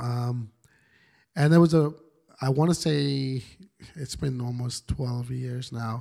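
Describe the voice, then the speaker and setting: Speaking at a very slow pace with long, frequent pauses, a man uses a medium pitch and a dark, mellow tone. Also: fairly even intonation. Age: 40s. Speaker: lead pastor. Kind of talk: casual interview.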